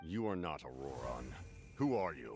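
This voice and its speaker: Putting on a character voice, a man growls in a very deep, low pitch. He keeps a moderate pace. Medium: video game. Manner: firm, measured.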